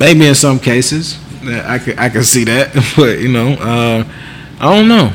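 Noticeable background noise runs behind this man. He speaks slowly-ish, at a fairly slow pace, in a medium pitch with ordinary pitch variation. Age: 30s. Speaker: podcast co-host. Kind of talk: casual chat.

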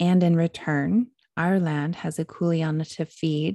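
Very slow speech from a woman with an American accent, very deep and low in pitch, dark and mellow in tone, with ordinary pitch variation, dry and close with no echo, on a very clean recording with a silent background. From US Midwest. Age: 30s. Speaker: podcast host, yoga and wellness coach. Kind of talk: solo podcast monologue.

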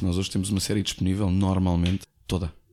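A man talks very fast, the recording very clean and the background silent. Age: 40s. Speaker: former radio host. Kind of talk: casual chat.

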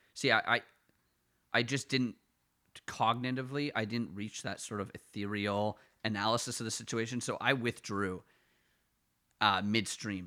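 In a very clean recording with a silent background, a man with a medium pitch and a bright, sharp tone speaks at a moderate pace, with long, frequent pauses. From Ottawa, Canada. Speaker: podcast co-host. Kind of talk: casual comedic banter. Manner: self-deprecating, rambling, joking.

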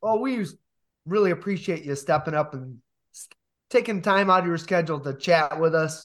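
Recorded very cleanly against a silent background, a man with an American accent talks at a fairly quick pace in a high pitch, with ordinary pitch variation. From Michigan. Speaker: podcast host. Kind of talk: casual interview.

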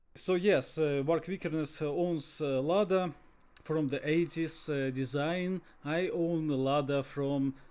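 A man's fairly high voice with a Russian accent, fairly even intonation and a very slow pace. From Russia, Sverdlovsk region. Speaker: podcast co-host. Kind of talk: casual chat. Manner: halting.

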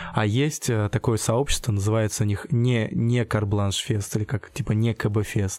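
A man speaks at a fairly slow pace with fairly even intonation and very even loudness. Noticeable background noise is present. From Russia, Tambov region (Michurinsk). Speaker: street artist. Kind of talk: interview. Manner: halting.

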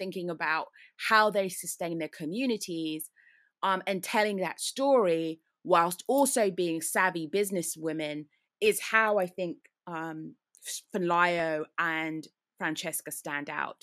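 A woman with a British accent speaks at a medium pitch and a fairly slow pace, with ordinary pitch variation, on a very clean recording with a silent background. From UK. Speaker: risk advisor. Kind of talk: interview.

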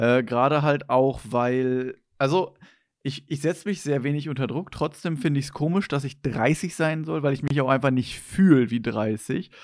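An unremarkable speaking voice with ordinary pitch variation comes through on a very clean recording with a silent background. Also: man, fairly high pitch for a man, moderate pace. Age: 20s. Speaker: podcast host. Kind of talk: casual chat.

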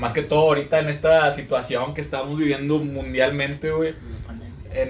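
Audible room echo and noticeable background noise surround the recording. A man speaks at a medium pitch and a moderate pace. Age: 20s. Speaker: podcast co-host. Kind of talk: casual chat.

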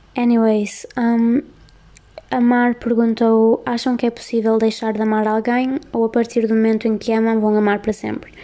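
A woman with a European Portuguese accent, fairly high pitch, monotone, flat intonation and a moderate pace. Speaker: podcast host. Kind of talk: casual chat. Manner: soothing.

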